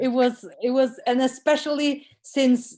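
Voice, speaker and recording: Talking at a fairly slow pace, this woman has a high pitch. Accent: non-native. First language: not English. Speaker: course participant. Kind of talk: casual chat. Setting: video call. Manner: halting.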